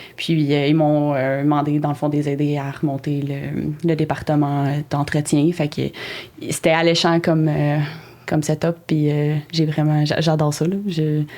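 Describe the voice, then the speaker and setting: Speaking at a fairly slow pace, a woman with a very deep, low pitch uses a monotone, flat intonation and a dark, mellow tone. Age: 20s. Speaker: horticulture teacher and project manager. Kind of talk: podcast interview. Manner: hesitant, many fillers.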